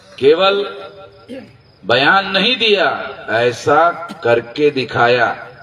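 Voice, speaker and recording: A man's voice with very wide pitch swings amid noticeable background noise. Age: 60s. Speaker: social movement leader. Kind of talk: political rally speech. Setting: public rally with audience. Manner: forceful, emphatic.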